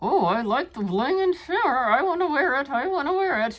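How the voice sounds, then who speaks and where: The voice is a cartoonish character voice with very wide pitch swings. It moves at a moderate pace. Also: woman, high pitch for a woman. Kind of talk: casual unboxing review to camera. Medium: puppet.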